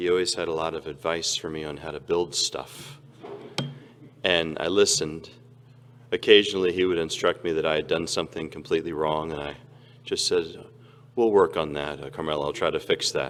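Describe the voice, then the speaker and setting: Talking at a fairly quick pace, a man leaves long, frequent pauses. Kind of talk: funeral address.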